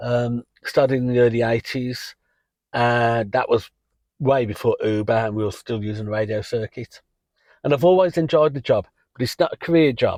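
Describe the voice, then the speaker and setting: In an English accent, a man speaks at a moderate pace and medium pitch with ordinary pitch variation. The sound is dry and close with no echo, over a quiet background. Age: 60s. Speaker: rideshare driver and channel host. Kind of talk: casual vlog talk. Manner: casual with frequent fillers.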